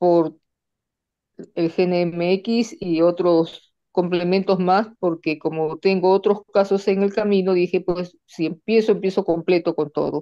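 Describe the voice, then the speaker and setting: Speaking very slowly, a woman keeps a medium pitch, monotone, flat intonation and very even loudness. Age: 70s. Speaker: patient sharing her case. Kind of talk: testimony.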